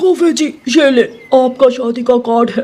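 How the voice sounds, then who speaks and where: In a cartoonish character voice, a man speaks at a moderate pace with an extremely high pitch. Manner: hesitant, polite.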